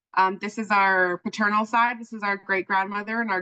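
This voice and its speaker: A loud woman's voice with a bright, sharp tone at a moderate pace, in dry, close sound with no echo. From Okanagan, British Columbia (syilx Nation). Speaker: journalism trainer. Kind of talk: workshop presentation. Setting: video call.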